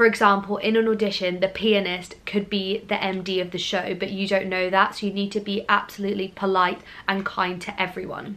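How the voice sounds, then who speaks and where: A woman with a southern English accent talks at a fairly quick pace with hardly any pauses, her medium-pitched voice bright and sharp but flat and monotone in intonation. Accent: near-RP southern English, regionless. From Scotland, Glasgow. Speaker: drama school student and YouTuber. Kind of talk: vlog talk to camera.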